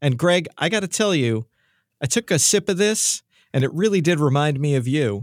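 In a New York accent, a man with a fairly high pitch talks at a moderate pace with lively intonation and very even loudness, the sound dry and close with no echo on a very clean recording with a silent background. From New York City. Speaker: musician and studio owner. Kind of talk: casual chat.

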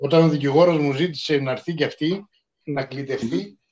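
A man's plain, everyday voice, fairly high in pitch, at a moderate pace with fairly even intonation. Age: 50s. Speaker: podcast co-host. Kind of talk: casual chat.

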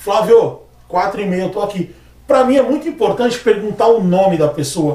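His pitch is high and his intonation lively. The man talks at a moderate pace. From Brazil, Praia Grande (São Paulo coast). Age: 30s. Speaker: barber. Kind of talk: casual chat.

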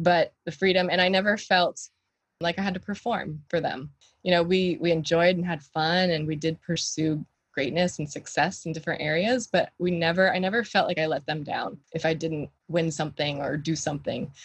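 With fairly even intonation, a somewhat breathy woman speaks at a moderate pace and a fairly low pitch. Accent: American. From US South, Florida Gulf Coast (Bradenton). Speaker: health coach. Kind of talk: interview conversation.

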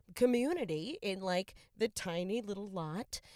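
In a very clean recording with a silent background and a dry, close sound with no echo, a woman with an ordinary speaking voice talks at a medium pitch and a fairly slow pace with ordinary pitch variation. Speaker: podcast host. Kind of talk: casual chat. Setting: in a car. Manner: casual, profane, laughing often.

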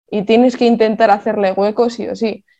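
A woman speaks in a northern Spanish accent with a dark, mellow tone. Her intonation is fairly even. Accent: Castilian Spanish (northern Spain). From Spain, Basque Country (Vitoria). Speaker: football analyst. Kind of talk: casual chat.

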